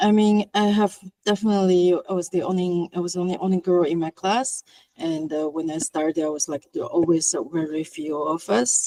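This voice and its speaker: In a dry, close sound with no echo, a woman with a non-native accent speaks fairly quickly in a fairly low pitch, with a dark, mellow tone and ordinary pitch variation. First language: not English. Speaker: VFX artist. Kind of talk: panel discussion.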